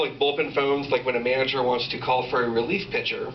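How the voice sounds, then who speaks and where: There is noticeable background noise and audible room echo. A man at a medium pitch speaks at a fairly quick pace. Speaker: stand-up comedian. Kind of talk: stand-up. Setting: stage with audience.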